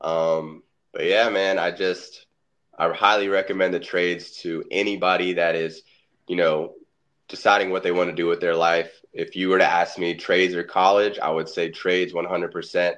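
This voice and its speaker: A man with a very deep, low voice and an American accent speaks in a monotone, flat intonation. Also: moderate pace, quiet background. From Florida, Orlando. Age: 20s. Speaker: pipe fitter and construction content creator. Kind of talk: casual interview chat.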